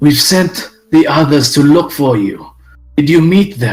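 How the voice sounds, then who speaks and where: A man's put-on character voice, fairly high in pitch and fairly slow, with faint music in the background. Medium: actual play. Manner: urgent, determined.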